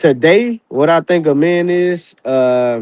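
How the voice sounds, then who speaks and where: Lively intonation marks this man's speech. He talks at a very slow pace. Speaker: rapper. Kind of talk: casual interview. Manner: few pauses for breath.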